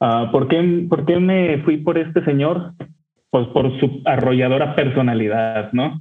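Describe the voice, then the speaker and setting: A man's normal speaking voice, fairly high in pitch, at a fairly slow pace with ordinary pitch variation and very even loudness. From northern Mexico, Torreón. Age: 30s. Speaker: whisky enthusiast. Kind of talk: storytelling.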